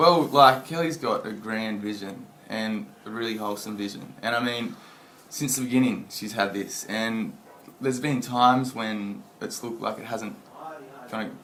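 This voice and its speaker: Recorded with noticeable background noise and audible room echo, a man speaks in an Australian country accent. His pitch is medium with ordinary variation, and his pace is moderate. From rural Australia. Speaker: friend of a memorial trust founder. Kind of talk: casual interview chat.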